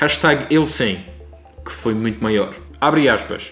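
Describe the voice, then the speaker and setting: A man with a Madeiran accent at a moderate pace, lively in intonation, with music in the background. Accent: European Portuguese, Madeiran. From Madeira, Portugal. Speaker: vlogger. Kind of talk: documentary-style political commentary narration.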